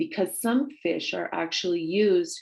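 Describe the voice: A woman speaks with vocal fry. Her tone is slightly mellow.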